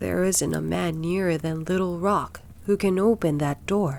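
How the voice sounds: Shaky and middle-pitched, this put-on character voice moves at a moderate pace over light background noise.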